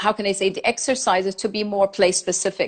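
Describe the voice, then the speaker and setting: At a very fast pace, a woman with a medium pitch speaks with fairly even intonation. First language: German and Farsi. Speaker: designer and lecturer. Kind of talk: interview conversation. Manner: halting.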